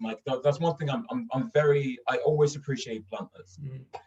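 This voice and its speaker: Very wide pitch swings at a fairly quick pace, somewhat breathy. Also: man. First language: Swedish. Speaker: actor and voice artist. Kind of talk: casual chat.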